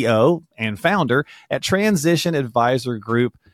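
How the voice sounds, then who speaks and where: A plain, everyday voice, a man with fairly high pitch and lively intonation, dry, close sound with no echo, very clean recording, silent background. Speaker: podcast host. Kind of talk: casual interview chat. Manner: friendly, upbeat.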